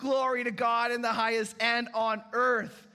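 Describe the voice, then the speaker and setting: With audible room echo, a man speaks at a fairly slow pace in a raised, projected voice, his tone animated, bright and sharp. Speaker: pastor. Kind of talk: sermon.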